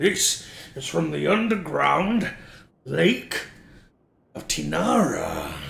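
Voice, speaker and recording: A man doing a put-on character voice, raspy and very slow, with long pauses that come often. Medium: actual play.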